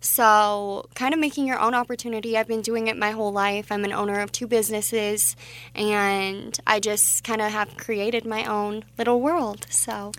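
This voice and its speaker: With a Mountain West accent and fairly even intonation, the speaker keeps a moderate pace with hardly any pauses, on a very clean recording with a silent background. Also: woman, fairly high pitch for a woman. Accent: General American (Mountain West). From Wyoming, Casper. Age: 20s. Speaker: pageant titleholder and boutique owner. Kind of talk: radio interview.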